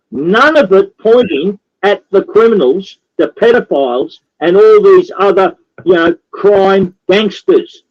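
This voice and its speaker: With an Australian accent, a man speaks at a high pitch and fairly slow pace, his intonation lively and the sound dry and close with no echo. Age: 60s. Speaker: activist. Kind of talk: political talk show interview. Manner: repetitive, emphatic.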